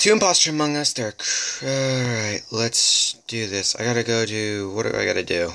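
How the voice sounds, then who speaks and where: Noticeable background noise runs through the clip. The talking proceeds at a moderate speed. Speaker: gaming youtuber. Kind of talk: gameplay commentary. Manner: animated.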